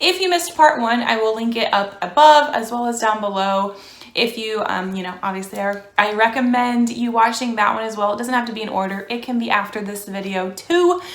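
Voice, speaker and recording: A woman with an American accent talks at a fairly quick pace and fairly high pitch, with hardly any pauses. Room echo is audible. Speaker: beauty vlogger. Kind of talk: casual vlog talk. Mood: chatty, upbeat.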